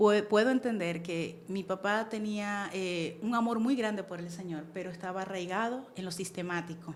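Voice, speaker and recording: A woman with a Venezuelan accent speaks at medium pitch and a moderate pace, with ordinary pitch variation, hardly any pauses, and audible room echo. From Venezuela, Caracas. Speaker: church member, guest on women's faith show. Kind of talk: testimony.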